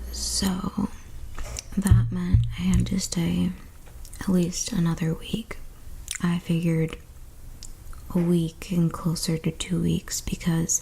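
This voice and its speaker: A soft-spoken woman talks at a very slow pace, with long, frequent pauses. Music plays in the background. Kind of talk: ASMR storytime.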